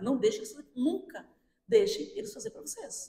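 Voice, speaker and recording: A woman speaks at a fairly quick pace in an animated tone with very wide pitch swings. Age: 60s. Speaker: firefighter. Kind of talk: interview.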